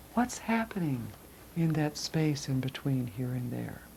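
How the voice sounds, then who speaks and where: A woman speaks at a fairly slow pace. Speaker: spiritual energy-healing teacher. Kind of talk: guided class on chakras. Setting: live class with group. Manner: slow, deliberate; soft-spoken.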